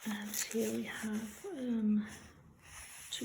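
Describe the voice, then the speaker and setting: Fairly high-pitched woman's voice with audible room echo. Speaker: junk journal crafter. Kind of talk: craft flip-through tutorial. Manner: hesitant, many fillers; casual.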